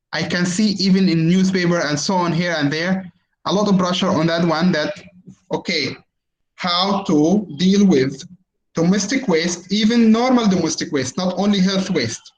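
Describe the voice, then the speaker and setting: Audible room echo surrounds this man. He talks at a moderate pace with a high pitch. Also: ordinary pitch variation. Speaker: university lecturer in environmental engineering. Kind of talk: online lecture with Q&A. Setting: video call webinar. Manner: hesitant, many fillers.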